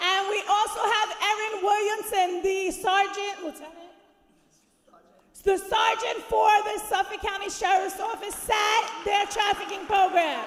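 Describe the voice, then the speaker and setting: A woman shouts loudly at an extremely high pitch, slow-ish and monotone with flat intonation. Audible room echo surrounds her fairly slow delivery. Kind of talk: event introduction to audience. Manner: loud, shouting.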